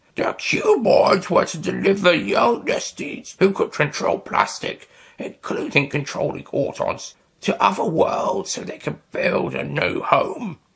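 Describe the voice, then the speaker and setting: Using a put-on character voice, a man sounds raspy. His pace is fairly slow. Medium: read story. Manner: menacing.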